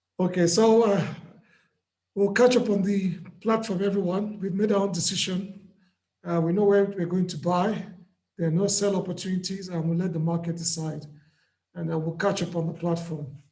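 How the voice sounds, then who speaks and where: A man speaks at a moderate pace with long, frequent pauses, his pitch high and his intonation fairly even. His tone is dark and mellow, and the room echo is audible. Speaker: trading mentor. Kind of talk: live trading session.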